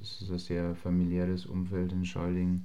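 With audible room echo, a man speaks at a moderate pace in a very deep, low voice. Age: 20s. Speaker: semi-pro footballer. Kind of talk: interview.

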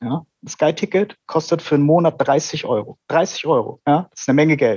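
A man speaks in an ordinary speaking voice at a fairly high pitch. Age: 30s. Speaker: IT worker, listener guest. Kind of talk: casual chat.

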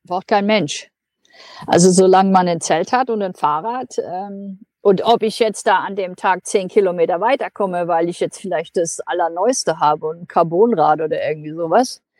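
A woman speaks in a medium pitch at a moderate pace with ordinary pitch variation. The sound is dry and close, with no echo. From Germany. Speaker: long-distance cyclist and traveler. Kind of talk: interview. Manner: hesitant, many filler sounds.

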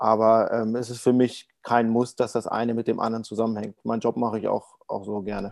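At a fairly quick pace and with hardly any pauses, a man talks in a monotone, flat delivery at a medium pitch. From Berlin, Germany. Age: 30s. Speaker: para ice hockey goalkeeper. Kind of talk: interview. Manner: hesitant, many fillers.

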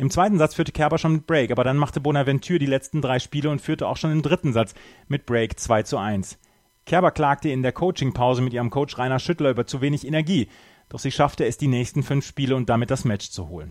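A man speaks at a very fast pace with ordinary pitch variation. The sound is dry and close with no echo, on a very clean recording with a silent background. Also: fairly high pitch for a man. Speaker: tennis podcast host. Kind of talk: sports news reading, tennis match report. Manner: fluent, brisk, matter-of-fact; even, informative, newsreader-like delivery.

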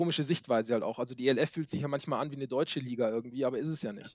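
Very fast delivery with fairly even intonation. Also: man. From Baden-Württemberg, Germany (Swabia). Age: 30s. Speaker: youth American football coach. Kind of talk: interview. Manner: hesitant, many fillers.

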